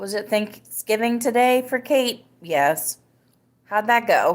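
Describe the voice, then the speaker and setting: This woman's voice sits at a fairly high pitch, with ordinary pitch variation. She talks at a very slow pace. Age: 30s. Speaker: podcast host. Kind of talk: casual live-stream chat. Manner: animated.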